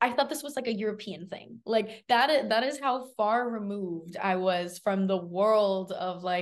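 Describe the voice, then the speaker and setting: At a moderate pace and with hardly any pauses, a woman speaks in an animated tone at a fairly high pitch with ordinary pitch variation. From Miami, Florida (Cuban-American). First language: Spanish. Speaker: graduate student. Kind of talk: interview.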